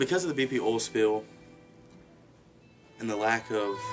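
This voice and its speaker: Clear music plays in the background. A man talks at a moderate pace. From Alabama. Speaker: youth theater director. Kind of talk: award application appeal to camera. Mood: earnest, heartfelt. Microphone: webcam.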